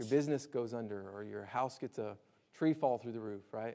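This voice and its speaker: A man's dark, mellow tone at a moderate pace. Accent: slight Alabama. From Alabama, US South. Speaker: disaster preparedness speaker. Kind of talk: lecture. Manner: conversational, frequent 'right?' tags.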